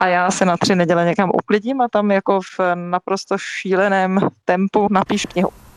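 A woman speaks at a medium pitch and a moderate pace, in a monotone, flat intonation. Her loudness is very even, and the sound is dry and close with no echo. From Czech Republic. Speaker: lawyer and author. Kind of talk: interview.

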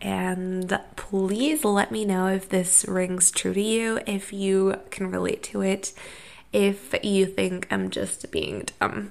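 Noticeable background noise surrounds the recording. A woman with an American accent speaks at a very slow pace. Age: 20s. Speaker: podcast host. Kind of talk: solo monologue podcast. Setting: sitting on floor of rented room.

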